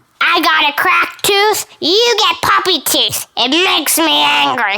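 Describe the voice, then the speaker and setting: This woman uses a put-on character voice pitched extremely high. She talks at a fairly slow pace. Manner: grumpy, angry.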